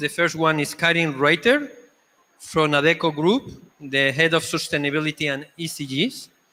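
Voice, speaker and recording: A man's fairly high voice with a Spanish accent and fairly even intonation. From Spain. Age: 50s. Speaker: panel moderator. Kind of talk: panel discussion moderation. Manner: halting.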